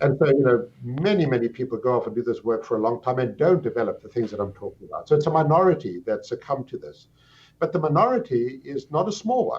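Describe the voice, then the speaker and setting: A man with a South African accent talks at a very fast pace in a somewhat breathy, fairly high voice. His pitch swings very widely and his loudness shifts in big swings. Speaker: psychiatry professor. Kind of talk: interview. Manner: articulate, explanatory.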